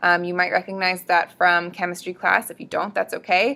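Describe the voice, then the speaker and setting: A woman speaks at a medium pitch. Her tone is bright and sharp. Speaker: student presenter explaining biology. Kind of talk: educational tutorial. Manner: fast; casual, with many fillers.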